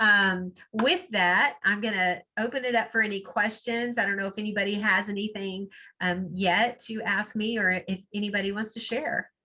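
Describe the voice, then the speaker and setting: Here is an unremarkable speaking voice at a moderate pace. The intonation stays fairly even. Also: woman, medium pitch for a woman. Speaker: networking speaker, promotional products seller. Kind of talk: webinar talk with Q&A. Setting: video call.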